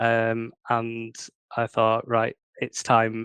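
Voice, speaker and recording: In a dry, close recording with no echo, a man with a northern English accent speaks at a medium pitch. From northern England. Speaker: crime fiction author. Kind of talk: interview. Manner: hesitant, many fillers.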